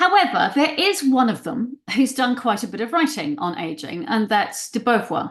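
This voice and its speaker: A woman with a high voice talks at a moderate pace with hardly any pauses, her pitch swinging very widely. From New Zealand. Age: 60s. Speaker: existential therapist and writer. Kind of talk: lecture. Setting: presentation to an audience. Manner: animated.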